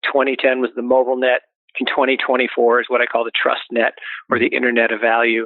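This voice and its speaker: A man with an American accent talks at a very fast pace. His pitch sits in the middle, and his intonation is flat and monotone. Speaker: investment firm executive. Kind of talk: interview. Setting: phone call.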